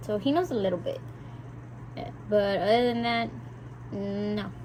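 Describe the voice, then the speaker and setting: A woman speaks at a moderate pace. There is audible room echo. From South Texas (McAllen), Mexican-American family. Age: 20s. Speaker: vlogger. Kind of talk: casual chat. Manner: talkative, chatty.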